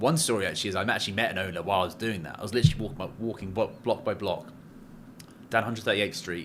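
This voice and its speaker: A man talks with an English accent. His pace is very fast. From England. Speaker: commercial real estate broker. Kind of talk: casual chat.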